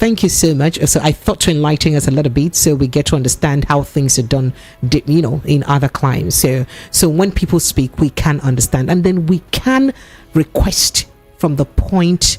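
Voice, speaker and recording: A woman speaks at a very deep, low pitch with ordinary variation and very even loudness. Noticeable background noise can be heard. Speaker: radio host. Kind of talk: radio talk show.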